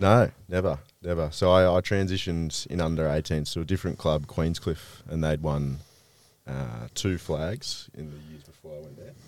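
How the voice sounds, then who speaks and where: Speaking with an Australian accent, a man uses a very deep, low pitch, ordinary pitch variation and a moderate pace. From Victoria, Australia. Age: 20s. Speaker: Australian rules footballer. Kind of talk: casual chat.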